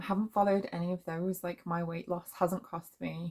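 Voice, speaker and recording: A woman speaks with a British accent. Her voice is somewhat breathy and her intonation monotone and flat. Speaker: vlogger. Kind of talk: casual monologue. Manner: hesitant, many fillers.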